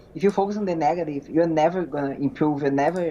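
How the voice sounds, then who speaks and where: A woman's very deep, low voice with a dark, mellow tone and a Portuguese accent. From Brazil. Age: 20s. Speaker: physique competitor. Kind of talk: interview. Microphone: connection freezing.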